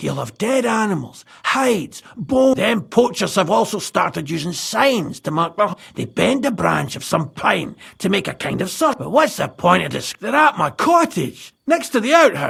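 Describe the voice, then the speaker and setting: Putting on a character voice, a man talks at a moderate pace with hardly any pauses, high in pitch and swinging it very widely. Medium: video game. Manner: gruff, jovial.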